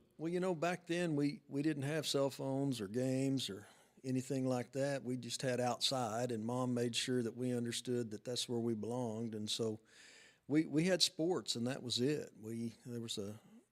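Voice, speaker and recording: In an unremarkable speaking voice, a man talks at a medium pitch and moderate pace with ordinary pitch variation, on a very clean recording with a silent background. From Oklahoma, Ponca City. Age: 60s. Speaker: booster club president. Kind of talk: podcast interview.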